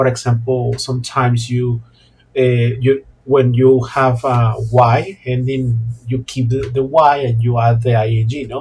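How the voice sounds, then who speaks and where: A man of medium pitch speaks at a fairly slow pace, his voice somewhat breathy. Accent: Mexican. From Mexico, La Paz. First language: Spanish. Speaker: Spanish teacher. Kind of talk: monologue vlog talk. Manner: halting, many fillers and repetitions.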